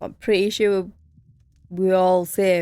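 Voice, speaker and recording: Speaking very slowly with a Northern English accent, a woman has a fairly low pitch and a dark, mellow tone in a very clean recording with a silent background. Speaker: gaming streamer. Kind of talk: let's play commentary. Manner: casual, chatty.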